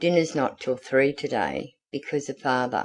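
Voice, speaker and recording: A man uses a raspy, put-on character voice at a medium pitch. He keeps a moderate pace with ordinary pitch variation. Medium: read story. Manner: brisk, matter-of-fact.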